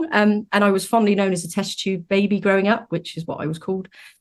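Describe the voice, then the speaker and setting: A woman with a British accent speaks at a very fast pace. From UK. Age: 40s. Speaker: donor conception advocate. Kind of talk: podcast interview. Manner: hesitant, many fillers.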